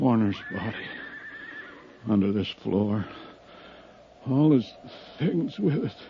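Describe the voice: In a put-on character voice, a man talks slowly at a fairly low pitch, with lively intonation and a slightly husky edge.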